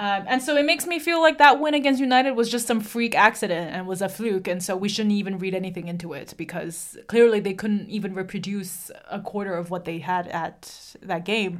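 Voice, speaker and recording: Speaking at a fairly quick pace with hardly any pauses, a woman has an unremarkable speaking voice at a medium pitch, with lively intonation. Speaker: podcast host. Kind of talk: casual banter.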